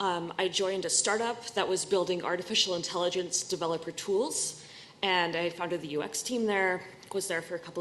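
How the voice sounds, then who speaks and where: With audible room echo and noticeable background noise, a woman with an American accent talks at a fairly quick pace. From US Northeast, Boston. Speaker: user experience researcher. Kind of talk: conference talk.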